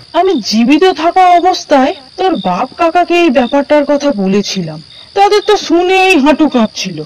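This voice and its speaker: A cartoonish character voice with a high pitch moves at a fairly slow pace. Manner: scolding yet affectionate, calls him names.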